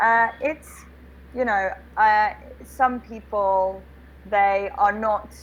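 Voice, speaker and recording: A woman with a British accent speaks at a very slow pace, leaving long, frequent pauses. Her intonation stays fairly even. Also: fairly high pitch for a woman. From England. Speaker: online English tutor. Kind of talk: casual video-call conversation. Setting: video call.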